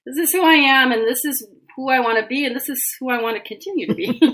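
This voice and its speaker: On a very clean recording with a silent background, a woman with an American accent speaks at a high pitch in a bright, sharp tone. Her intonation is lively and her pace fairly quick. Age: 60s. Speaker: animal communicator. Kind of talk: interview conversation.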